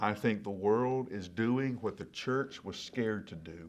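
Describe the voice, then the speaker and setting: With ordinary pitch variation and a fairly slow pace, this is a plain, everyday voice. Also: man. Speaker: senior pastor. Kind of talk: sermon-style devotional talk to camera.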